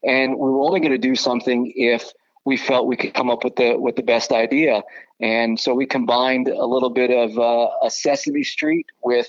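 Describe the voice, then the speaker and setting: In a plain, everyday voice, a man with an American accent speaks at a moderate pace and medium pitch. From Southern California. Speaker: baseball broadcaster. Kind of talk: casual interview.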